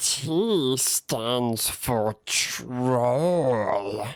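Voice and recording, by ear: A put-on character voice at low-to-middle pitch.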